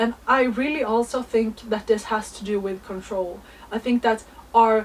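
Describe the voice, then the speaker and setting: A woman with a fairly high voice speaks at a moderate pace and a fairly even intonation, with noticeable background noise. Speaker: astrology content creator. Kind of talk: spiritual monologue.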